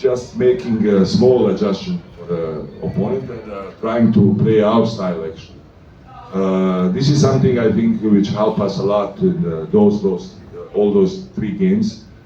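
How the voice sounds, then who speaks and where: Lively intonation and big swings in loudness mark this moderate-paced speech, heard with audible room echo and noticeable background noise. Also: man, fairly low pitch for a man. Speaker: basketball coach. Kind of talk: press conference. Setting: press room with microphone. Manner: halting, many fillers.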